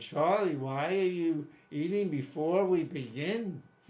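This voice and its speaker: Putting on a character voice, a man speaks high-pitched and shrill at a fairly slow pace with ordinary pitch variation. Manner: scolding.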